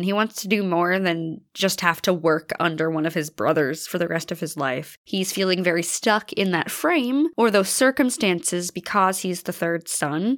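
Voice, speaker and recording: Moderate tempo and typical pitch movement in a plain, everyday voice. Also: woman. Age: 20s. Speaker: podcast host. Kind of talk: casual chat.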